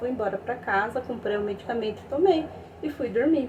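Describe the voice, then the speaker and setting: A woman is speaking. There is noticeable noise in the background. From interior of São Paulo state, Brazil. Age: 20s. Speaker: fundraiser appealing for surgery help. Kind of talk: personal testimony. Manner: halting, with many fillers.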